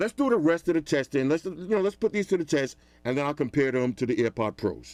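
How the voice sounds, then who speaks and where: Energetic and lively in intonation, a man speaks at a fairly high pitch with a dry, close sound and no echo. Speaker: tech reviewer. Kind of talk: product review tutorial. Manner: loud; casual, energetic.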